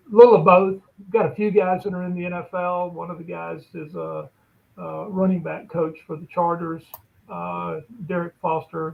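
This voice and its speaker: With an Alabama accent, a man speaks at a moderate pace in a high pitch and with fairly even intonation. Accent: US Southern (Alabama). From Alabama, Bessemer. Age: 60s. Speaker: lawyer and sports agent. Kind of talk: interview conversation.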